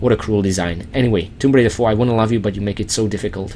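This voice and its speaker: A man speaks with a medium pitch. Noticeable background noise runs behind him. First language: not English. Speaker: video game let's play host. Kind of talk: game walkthrough commentary. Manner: casual, conversational; halting with fillers.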